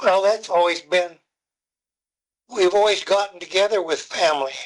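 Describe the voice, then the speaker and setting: Someone with an American accent speaks at a moderate pace, with fairly even intonation and very even loudness. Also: man, high pitch for a man. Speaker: WWII Navy veteran. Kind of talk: interview answer. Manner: brief, terse replies.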